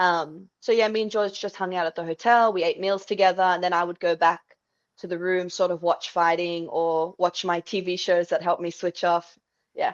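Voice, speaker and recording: A woman with an Australian accent, at a moderate pace and in a monotone, flat intonation, with a dry, close sound with no echo. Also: quiet background. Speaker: MMA and Muay Thai fighter. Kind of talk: interview.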